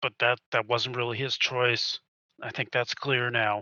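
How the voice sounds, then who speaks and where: A man uses a raspy, put-on character voice at a medium pitch. He talks at a moderate pace with monotone, flat intonation. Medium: actual play. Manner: rambling.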